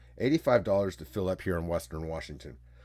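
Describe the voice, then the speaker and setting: A man speaks with vocal fry. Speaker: solo podcast host. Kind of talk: casual monologue.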